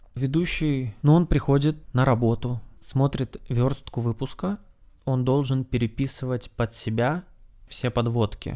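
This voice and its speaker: Dark and mellow in tone, a man's medium-pitched voice moves at a fairly slow pace with ordinary pitch variation. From Sakhalin, Russian Far East. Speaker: TV news presenter. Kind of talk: casual interview. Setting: at the host's guest's place.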